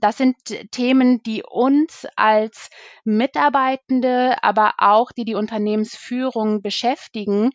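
A woman speaks at a very slow pace with a fairly high pitch and ordinary pitch variation, the sound dry and close with no echo against a quiet background. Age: 30s. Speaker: recruiter. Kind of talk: interview.

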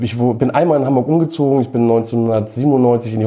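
Speech from a man, fairly even in intonation, against noticeable background noise. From Schleswig-Holstein, northern Germany. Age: 40s. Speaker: record label owner. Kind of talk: casual interview.

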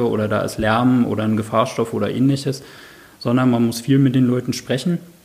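A man speaks at a medium pitch. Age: 30s. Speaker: occupational safety specialist. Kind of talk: interview. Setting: in person at workplace office.

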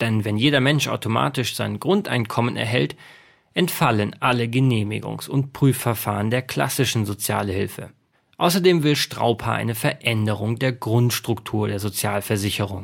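This man's medium-pitched voice has vocal fry and ordinary pitch variation. He speaks at a moderate pace on a very clean recording with a silent background. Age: 30s. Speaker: podcast host and author. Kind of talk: scripted narration; interview.

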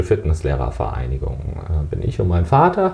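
The speaker is a man with a somewhat breathy voice. He keeps to a moderate pace. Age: 40s. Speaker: fitness trainer and sports economist. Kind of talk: interview.

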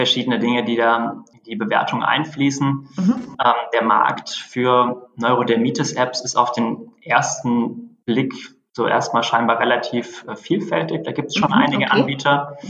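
The voice is a man's, a normal speaking voice at a medium pitch. It moves at a fairly slow pace with ordinary pitch variation. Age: 30s. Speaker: startup founder and CEO. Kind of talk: interview. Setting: phone call.

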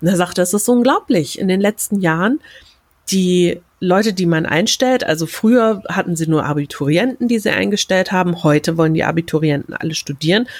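A woman with a medium-pitched voice talks fairly quickly in an animated tone, with lively intonation and very even loudness. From Germany. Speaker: podcast host, German as a foreign language teacher. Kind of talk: solo rant podcast.

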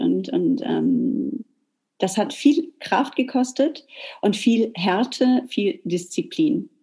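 Her dark, mellow tone carries lively intonation as the woman speaks. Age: 40s. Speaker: hair salon owner. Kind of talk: interview.

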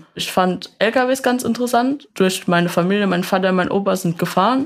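A woman with a normal speaking voice and medium pitch speaks at a moderate pace with ordinary pitch variation, on a very clean recording with a silent background. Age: 20s. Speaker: vehicle mechatronics technician. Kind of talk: interview.

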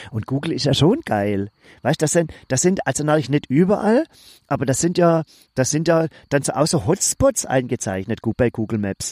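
With a normal speaking voice at a fairly high pitch, a man talks at a moderate pace with lively intonation, recorded very cleanly against a silent background in a dry, close sound with no echo. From Swabia. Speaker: podcast co-host. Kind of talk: casual chat.

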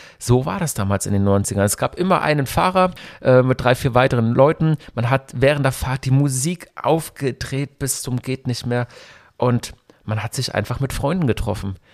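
A man with an unremarkable speaking voice talks at a moderate pace and medium pitch with ordinary pitch variation, in a dry, close sound with no echo on a very clean recording with a silent background. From Germany, Hockenheim (Baden). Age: 40s. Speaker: radio host and event organizer. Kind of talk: solo podcast monologue. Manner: casual, nostalgic storytelling.

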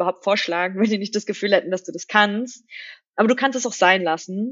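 A woman speaks at medium pitch with ordinary pitch variation and an ordinary speaking voice. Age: 30s. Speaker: fintech CEO. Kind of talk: interview. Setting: studio.

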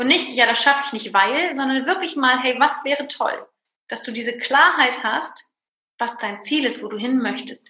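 Her voice raised and projected, a woman speaks at a moderate pace with a high pitch. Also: ordinary pitch variation. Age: 30s. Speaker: business owner and coach. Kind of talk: interview.

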